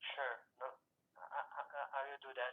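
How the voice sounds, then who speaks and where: A man at a moderate pace. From Brazil. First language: Portuguese. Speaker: journalist. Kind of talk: interview. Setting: phone call. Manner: halting.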